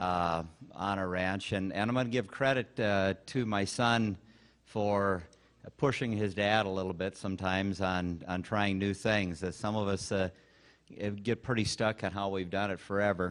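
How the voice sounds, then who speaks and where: Over a quiet background, a man with an American accent talks at a moderate pace and fairly low pitch, his intonation fairly even. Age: 60s. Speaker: rancher. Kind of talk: conference talk. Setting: stage with audience. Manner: informal.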